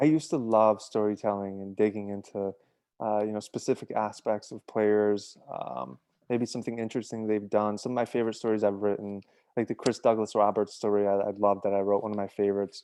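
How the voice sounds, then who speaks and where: A man speaks at a fairly quick pace in a fairly low pitch. His tone is dark and mellow, with fairly even intonation. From Bosnia, then Utica, New York. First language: Serbian/Bosnian. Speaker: sports journalist and podcast co-host. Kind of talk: interview. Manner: hesitant, many fillers and repeats.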